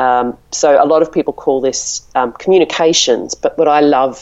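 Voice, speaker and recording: With an Australian accent, a woman speaks in a very deep, low voice with fairly even intonation. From Melbourne, Australia. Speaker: marketing director and blogger. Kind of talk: interview. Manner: hesitant, filler-heavy.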